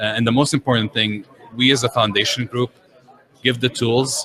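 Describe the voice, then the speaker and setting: Fairly quick speech from a man with an Arabic accent, medium pitch and monotone, flat intonation, over noticeable background noise. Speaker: software engineer. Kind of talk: interview. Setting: conference.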